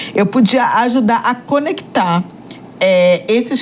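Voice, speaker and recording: A woman speaks with a northeastern Brazilian accent and lively intonation. Noticeable background noise is present. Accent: Northeastern Brazilian, regained. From Northeast Brazil, Salvador. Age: 50s. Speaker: journalist and entrepreneur. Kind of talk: podcast interview. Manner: hesitant, many fillers.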